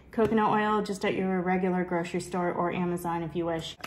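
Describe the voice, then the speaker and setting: Noticeable noise fills the background while the woman talks. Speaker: family vlogger. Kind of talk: home cooking tutorial. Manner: casual, conversational.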